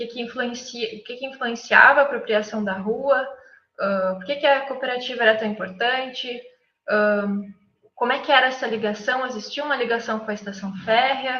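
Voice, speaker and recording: Her pitch high and her intonation fairly even, a woman speaks at a moderate pace with big swings in loudness and audible room echo. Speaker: architect, guest lecturer. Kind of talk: lecture. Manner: halting, many fillers and self-corrections.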